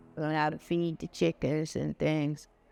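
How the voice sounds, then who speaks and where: Music plays in the background as a man speaks with monotone, flat intonation. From US South, Charlotte, North Carolina. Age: 70s. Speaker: local resident sharing memories. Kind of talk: personal storytelling. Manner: halting.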